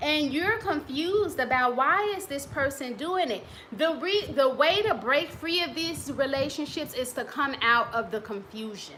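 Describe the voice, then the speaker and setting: With a raised, projected voice, a woman speaks high and in a bright, sharp tone at a moderate pace with very wide pitch swings and hardly any pauses, with audible room echo. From US Midwest. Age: 40s. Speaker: relationship coach and author. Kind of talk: casual talk to camera. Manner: conversational.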